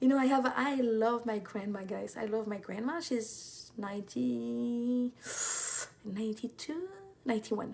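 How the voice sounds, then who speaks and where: There is noticeable background noise as a woman with a French accent speaks. Her pitch is fairly high and her pace fairly slow. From France. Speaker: intuitive life coach. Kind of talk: live stream talk.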